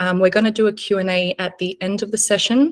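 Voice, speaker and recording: A woman's medium-pitched voice with an Australian accent. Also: dry, close sound with no echo. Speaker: insurance team lead. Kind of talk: webinar presentation. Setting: video webinar.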